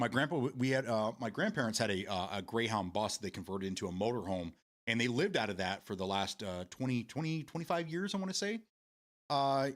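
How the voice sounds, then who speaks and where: In a Michigan accent, the speaker talks very fast with lively intonation on a very clean recording with a silent background. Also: man. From Michigan, US. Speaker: live streamer. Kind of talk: casual chat reading live chat. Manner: halting, many repeated words.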